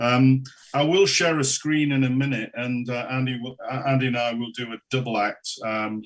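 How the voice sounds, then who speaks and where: Man with a Geordie accent and fairly even intonation. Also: medium pitch for a man, moderate pace. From northern England, Newcastle upon Tyne. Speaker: local government consultant. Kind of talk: council presentation. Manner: halting, many fillers.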